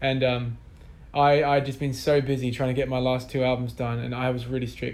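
Speaking fairly quickly in a flat monotone, a man with a medium-pitched voice is heard with audible room echo. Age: 20s. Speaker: musician. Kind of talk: interview. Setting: office.

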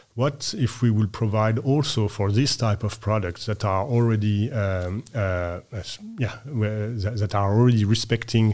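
A man with a French accent speaks at a moderate pace in a fairly low voice. His intonation stays fairly even, and the recording is very clean with a silent background. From France. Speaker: researcher and ship owner. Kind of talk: casual interview. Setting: studio.

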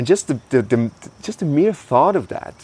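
A man with a German accent talks at a fairly slow pace with very wide pitch swings. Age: 30s. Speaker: podcast host. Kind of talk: casual conversation.

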